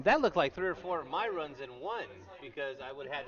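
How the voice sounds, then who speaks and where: A very fast man with very wide pitch swings over noticeable background noise. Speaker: sports commentator and math teacher. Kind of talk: live commentary. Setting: press booth at game.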